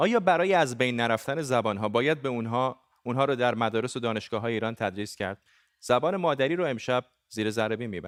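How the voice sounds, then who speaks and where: Against a silent background in a very clean recording, a man with a medium-pitched voice speaks very fast with ordinary pitch variation. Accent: Gilan. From Iran, Gilan. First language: Gilaki (speaking Persian). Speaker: TV news anchor. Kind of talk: news presenting.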